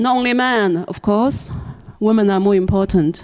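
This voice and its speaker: The woman's tone is dark and mellow. She speaks at a moderate pace with ordinary pitch variation. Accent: Chinese. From China. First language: Chinese. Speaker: novelist and filmmaker. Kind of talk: seminar talk.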